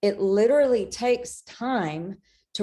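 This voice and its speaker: Over a quiet background, a woman speaks in a dark, mellow tone with ordinary pitch variation. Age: 60s. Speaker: author and spiritual guide. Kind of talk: interview.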